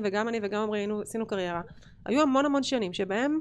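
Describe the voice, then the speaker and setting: Over a quiet background, a woman with a normal speaking voice talks at a fairly quick pace, her pitch fairly high with ordinary variation. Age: 40s. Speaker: entrepreneur and business owner. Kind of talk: casual interview chat. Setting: studio.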